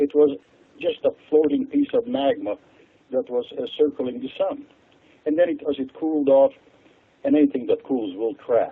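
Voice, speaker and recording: A man with a Hungarian accent at a moderate pace, with long, frequent pauses. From Hungary. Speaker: water expert. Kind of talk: radio interview.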